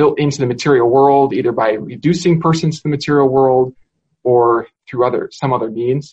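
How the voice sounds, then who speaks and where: The man's voice sits at a medium pitch and sounds somewhat breathy. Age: young. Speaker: philosophy professor. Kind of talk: casual academic conversation.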